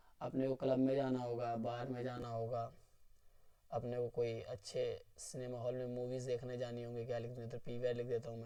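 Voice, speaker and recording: Monotone, flat intonation in a dark, mellow tone at a fairly slow pace, with audible room echo. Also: man, medium pitch for a man. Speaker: online lecturer. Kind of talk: tutorial lecture.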